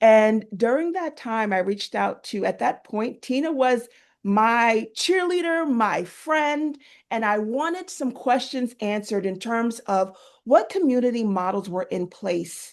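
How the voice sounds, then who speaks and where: In a New York accent, a woman speaks at a fairly high pitch with lively intonation against a quiet background. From New York (Queens). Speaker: army veteran and caregiver support advocate. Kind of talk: panel talk, personal story. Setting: virtual event.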